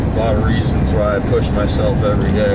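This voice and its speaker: Loud background noise runs through the clip. A man speaks over it at a moderate pace. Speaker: vlogger. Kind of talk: casual vlog chat. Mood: weary, reflective. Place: car. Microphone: camera far.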